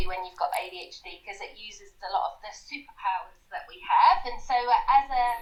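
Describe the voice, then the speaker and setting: A woman speaks at a moderate pace in an English accent. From southwest England, Somerset. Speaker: recruitment business founder. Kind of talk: casual interview. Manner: energetic.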